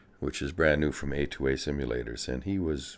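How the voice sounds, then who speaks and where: Over background music, a man with a very deep, low voice talks at a fairly quick pace with ordinary pitch variation. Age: old. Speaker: flight sim video maker. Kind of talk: casual gameplay commentary. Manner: rambling, hesitant.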